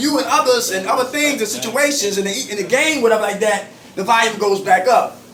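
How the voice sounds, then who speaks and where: A man speaks at an extremely high pitch in an animated tone, at a fairly quick pace. Noticeable background noise and audible room echo are present. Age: 50s. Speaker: recovery group facilitator. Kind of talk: support group meeting. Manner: fast.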